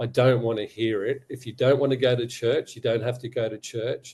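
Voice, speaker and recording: In an Australian accent, a man speaks at a moderate pace with a dark, mellow, somewhat breathy tone, medium pitch and fairly even intonation. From Australia, Sydney. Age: 60s. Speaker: abuse survivor and advocate. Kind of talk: testimony.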